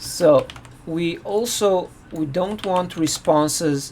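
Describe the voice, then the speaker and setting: Noticeable background noise runs through the clip. Over it, a man talks at a high pitch. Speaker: software developer live-streaming coding. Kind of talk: live coding stream. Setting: live stream. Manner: halting, self-correcting.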